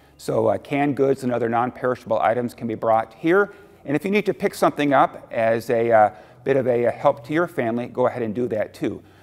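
With a quiet background, a man talks at a very fast pace. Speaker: lead pastor. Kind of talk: welcome and church announcements. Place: church.

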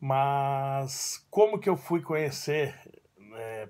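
A man talks with a fairly high pitch and ordinary pitch variation. The background is quiet. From Brazil, São Paulo (childhood in southern Brazil). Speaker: judo teacher. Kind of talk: personal storytelling monologue; casual vlog chat, personal story. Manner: casual, with filler words. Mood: warm, nostalgic. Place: home room. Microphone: phone near.

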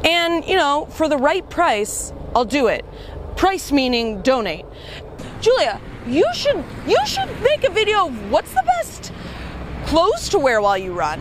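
Pausing long and often, a high-pitched woman speaks at a fairly slow pace in a dry, echo-free recording with noticeable background noise. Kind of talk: casual vlog chat. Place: waterside.

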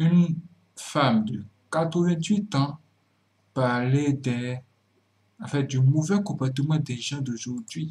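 A fairly high-pitched, somewhat breathy man at a very slow pace, with long, frequent pauses and ordinary pitch variation. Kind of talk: commentary talk to camera.

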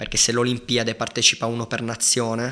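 Against a quiet background, a man speaks at a fairly quick pace in a bright, sharp tone. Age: 20s. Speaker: professional judoka; podcast guest. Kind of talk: casual chat. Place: studio. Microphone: studio mic.

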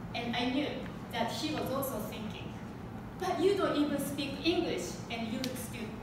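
With a Japanese accent, the speaker goes at a moderate pace amid noticeable background noise and strong room echo. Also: woman. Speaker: public speaker. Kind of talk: prepared public speech. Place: classroom. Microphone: camera far.

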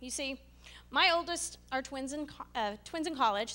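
Raised, projected woman's voice, high-pitched with a bright, sharp tone, ordinary pitch variation and moderate pace. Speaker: stand-up comedian. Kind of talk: stand-up comedy. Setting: stage with audience. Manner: animated. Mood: wry, humorous storytelling. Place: hall. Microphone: handheld.

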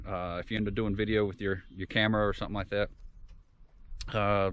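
A man talks at a fairly quick pace with a fairly low pitch. The sound is dry with no echo, over light background noise. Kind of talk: casual vlog chat. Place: open country. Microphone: phone near.

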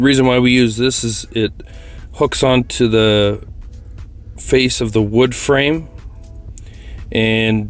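Faint music sits behind a man speaking with fairly even intonation. The sound is dry, with no echo. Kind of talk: tutorial. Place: garage.

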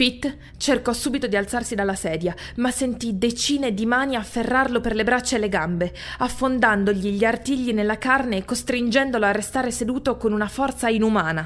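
Noticeable background noise behind a woman at a fairly high pitch, a fairly quick pace and ordinary pitch variation. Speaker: audiobook narrator. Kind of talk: horror audiobook narration.

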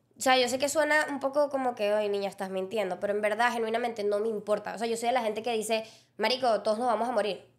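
A woman's fairly high voice at a very fast pace. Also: quiet background. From Venezuela, Llanos region; Venezuela. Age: 20s. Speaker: podcast co-host and content creator; podcast co-host, content creator. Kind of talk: casual chat. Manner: animated. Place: studio. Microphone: studio mic.

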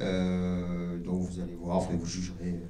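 Audible room echo is present. The voice belongs to a man. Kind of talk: public presentation speech. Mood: proud, lightly joking. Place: hall. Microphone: pa.

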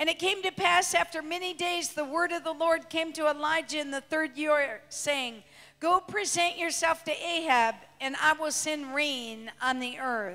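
A woman speaks at a moderate pace in a raised, projected voice with a bright, sharp tone. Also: ordinary pitch variation. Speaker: preacher. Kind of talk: sermon. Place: church. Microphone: handheld.

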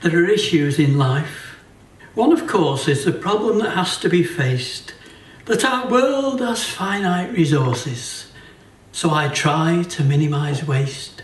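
Audible room echo surrounds a man whose high voice swings very widely in pitch. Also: fairly slow pace. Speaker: poet. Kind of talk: comic poetry reading at a folk gathering. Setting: live performance in a hotel venue. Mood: wry, deadpan humour.

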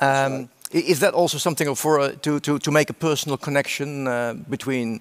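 His pace is moderate. The man's pitch shifts in an ordinary way. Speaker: interviewer. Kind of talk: interview question. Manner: hesitant. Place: stage. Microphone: headset.

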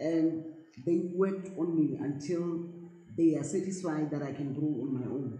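With audible room echo, a woman with a very deep, low pitch speaks at a moderate pace and fairly even intonation. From South Africa. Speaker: actress. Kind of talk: interview. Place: home room.

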